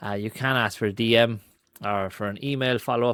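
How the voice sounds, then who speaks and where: A man with a strong Irish accent, fairly low in pitch, with ordinary pitch variation. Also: quiet background, dry sound with no echo. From Ireland. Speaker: marketing and AI content creator; AI content creator. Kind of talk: screen-recorded tutorial; screen-share tutorial. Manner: casual with frequent fillers (um, uh).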